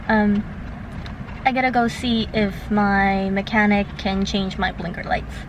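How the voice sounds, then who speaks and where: Audible room echo and noticeable background noise surround a woman speaking at a medium pitch in a monotone, flat intonation. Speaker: vlogger. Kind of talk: casual vlog storytime. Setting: in a parking lot. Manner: fast.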